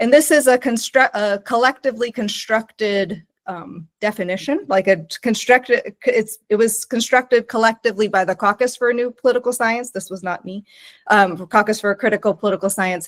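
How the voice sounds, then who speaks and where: A woman with an American accent, fairly high pitch, ordinary pitch variation and fairly quick pace, in a dry, close sound with no echo. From United States. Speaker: professor. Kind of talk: lecture. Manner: halting, with restarts.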